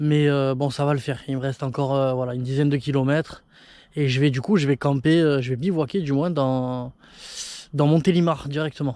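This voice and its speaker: A man's dark, mellow tone at a fairly quick pace, with fairly even intonation, on a very clean recording with a silent background. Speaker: travel vlogger on a bike trip. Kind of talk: casual vlog to camera. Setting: outdoors at night. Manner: soft-spoken; halting.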